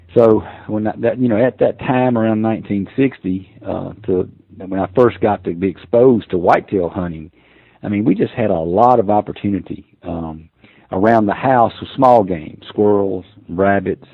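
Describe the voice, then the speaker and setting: A man with an American accent uses a normal speaking voice, fairly low in pitch with ordinary variation, at a moderate pace. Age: 60s. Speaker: hunting call maker. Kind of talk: casual interview chat.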